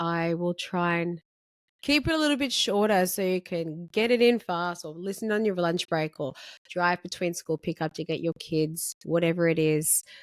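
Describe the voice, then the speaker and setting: A woman with an Australian accent and a fairly low pitch speaks at a moderate pace with ordinary pitch variation, in a very clean, dry, close recording with a silent background and no echo. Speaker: podcast host, beauty salon owner. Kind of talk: solo podcast monologue. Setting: filmed podcast recording. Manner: casual, conversational.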